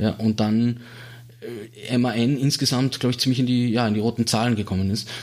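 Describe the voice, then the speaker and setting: A man's flat, monotone delivery broken by long, frequent pauses. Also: medium pitch for a man, moderate pace, very even loudness. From Austria, Salzburg city. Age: 30s. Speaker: automotive industry researcher. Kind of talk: interview. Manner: halting.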